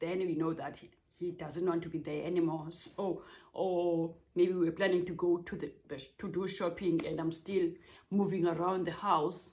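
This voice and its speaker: A woman talks at a fairly low pitch with monotone, flat intonation. Her loudness swings a lot. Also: moderate pace. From South Africa. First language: not English, a South African language. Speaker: vlogger. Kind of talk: casual vlog talk. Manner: halting, with repeated words.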